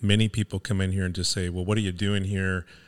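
The recording is very clean and the background silent. His voice, a man's, sits fairly low in pitch. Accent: American. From Venice, Los Angeles, California. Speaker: small business owner. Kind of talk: casual interview.

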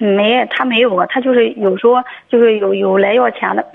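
Fairly high and at a fairly quick pace, a woman's voice shows ordinary pitch variation. It is a plain, everyday voice. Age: 40s. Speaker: beautician, caller. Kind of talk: phone call-in advice. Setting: phone call.

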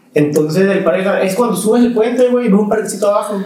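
A man speaks with ordinary pitch variation. Audible room echo and noticeable background noise surround him. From Mexico, Veracruz. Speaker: musician. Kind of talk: casual chat.

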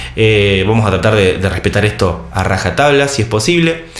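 Lively intonation carries this moderately paced voice, heard with audible room echo and noticeable background noise. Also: man. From Argentina. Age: 30s. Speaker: travel podcaster. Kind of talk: solo podcast monologue. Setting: video recording. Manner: halting with fillers and repeated words.

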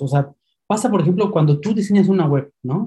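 A man with lively intonation. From Mexico City. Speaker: email marketing copywriter. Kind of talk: interview. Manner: halting, repeats words.

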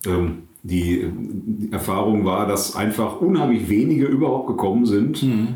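A man speaks at a fairly low pitch and a fairly slow pace, somewhat breathy with a dark, mellow tone, ordinary pitch variation, very even loudness and hardly any pauses, with audible room echo. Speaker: pastor and podcast co-host. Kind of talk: casual chat. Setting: his own study.

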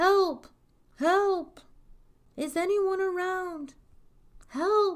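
In a put-on character voice, the speaker goes at a very slow pace with ordinary pitch variation. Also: woman, extremely high pitch for a woman.

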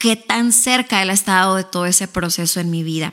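With a Mexican accent, a woman talks at a moderate pace in a bright, sharp tone and ordinary pitch variation. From northern Mexico, Ciudad Juárez. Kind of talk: casual interview; testimony.

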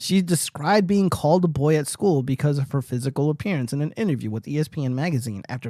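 An unremarkable speaking voice with lively intonation. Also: man. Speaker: livestream political commentary host. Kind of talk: casual livestream chat. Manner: profane, casual.

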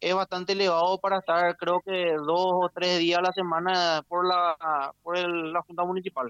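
In a dry, close recording with no echo, a man with a high pitch speaks fairly slowly in a monotone, flat intonation. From Paraguay. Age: 30s. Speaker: local political candidate. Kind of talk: interview. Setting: phone call.

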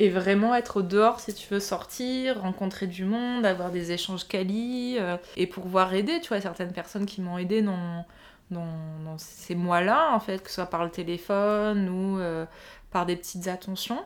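Fairly slow speech from a woman with a medium pitch. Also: ordinary pitch variation, big swings in loudness. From southern France, Nice. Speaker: podcast guest sharing personal story. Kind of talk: personal testimony in casual chat.

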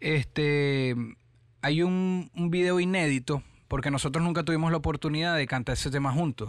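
A man speaks in an ordinary speaking voice, fairly high-pitched for a man, at a moderate pace with ordinary pitch variation and very even loudness. The recording is very clean, with a silent background. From Venezuela, Caracas. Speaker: rapper. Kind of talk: interview.

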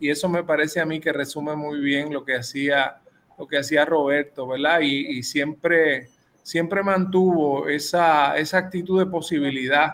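Speaking at a fairly slow pace, a man with a fairly high pitch and fairly even intonation has a plain, everyday voice. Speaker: radio host. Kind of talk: radio interview.

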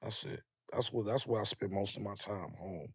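A man talks at a very fast pace with a New York accent. The recording is very clean, with a silent background. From Harlem, New York City. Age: 40s. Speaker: rapper. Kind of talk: casual chat. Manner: animated storytelling.

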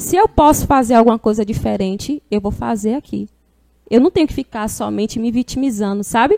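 At a fairly quick pace, a woman talks with a fairly high pitch and a dark, mellow tone, the sound dry and close with no echo. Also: ordinary pitch variation. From Bahia, Brazil. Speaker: singer and turban stylist. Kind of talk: casual chat.

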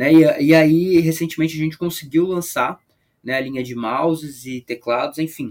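This man has an ordinary speaking voice with fairly high pitch and ordinary pitch variation. He talks at a moderate pace. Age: 20s. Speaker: product specialist. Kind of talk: podcast interview.

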